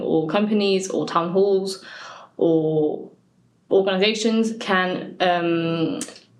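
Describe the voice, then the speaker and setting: The speech moves at a very slow pace with ordinary pitch variation. Audible room echo surrounds the voice. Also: woman. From Brittany, France, with a Cornish mother. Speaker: Breton language organization worker. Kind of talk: interview. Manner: hesitant, with fillers.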